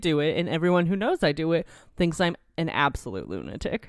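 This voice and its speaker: The sound is close and dry, without any echo. A woman is heard on a very clean recording against a silent background. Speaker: podcast co-host. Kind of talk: casual chat.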